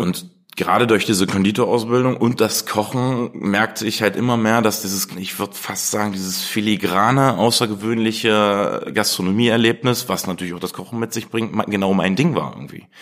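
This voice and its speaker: A man talks in a fairly low pitch, with hardly any pauses. Noticeable background noise runs underneath. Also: ordinary pitch variation. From Germany, Harz region (Blankenburg, Saxony-Anhalt). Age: 30s. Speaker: chef. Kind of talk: interview. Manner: fast; animated.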